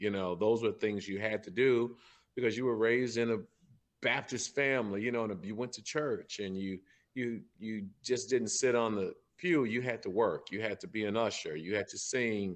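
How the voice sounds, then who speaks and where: A man speaks with a St. Louis accent. The background is quiet. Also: medium pitch for a man, ordinary pitch variation, moderate pace. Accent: Midwestern American, St. Louis. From St. Louis, Missouri. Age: 50s. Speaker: singer. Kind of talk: casual chat.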